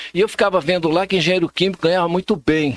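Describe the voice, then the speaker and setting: A man speaks with a high pitch. The recording is very clean with a silent background and a dry, close sound with no echo. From São Paulo state, Brazil (Ferraz de Vasconcelos, São Paulo metro area). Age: 60s. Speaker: social scientist and political marketing specialist. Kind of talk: casual interview chat.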